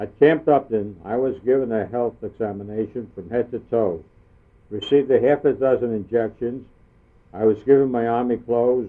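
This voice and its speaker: A man with an unremarkable speaking voice and a medium pitch talks at a moderate pace, his pitch shifting in an ordinary way. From US Northeast, Brooklyn, New York. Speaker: war veteran. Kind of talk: reading aloud.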